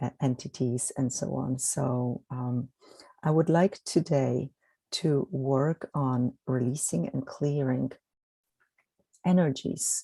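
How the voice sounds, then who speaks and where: With a Polish accent, the speaker goes at a very slow pace, leaving long, frequent pauses. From Poland. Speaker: energy healer. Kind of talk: guided meditation.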